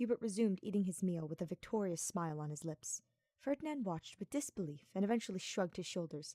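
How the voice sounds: Against a quiet background, someone reads in a natural voice.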